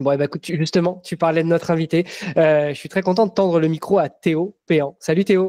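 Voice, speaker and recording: A man talks at a fairly quick pace in a high pitch with a dark, mellow tone, the sound dry and close with no echo. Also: fairly even intonation. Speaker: podcast host. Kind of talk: casual interview chat.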